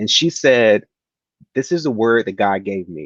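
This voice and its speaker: Against a quiet background, a man with a medium pitch speaks in an animated tone with lively intonation. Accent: American. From US South, rural Tennessee near Memphis. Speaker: actor and keynote speaker. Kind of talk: interview storytelling.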